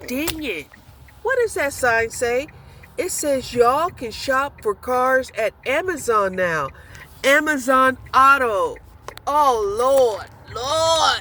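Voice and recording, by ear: Slow and high-pitched, a woman talks with a bright, sharp tone and lively intonation.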